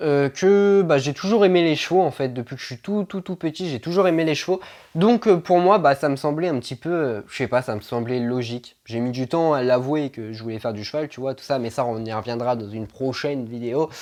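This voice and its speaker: With big swings in loudness, a man moves through his words at a fairly quick pace. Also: medium pitch for a man, lively intonation. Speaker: equestrian vlogger. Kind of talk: casual vlog Q&A. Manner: stumbling, halting with many fillers.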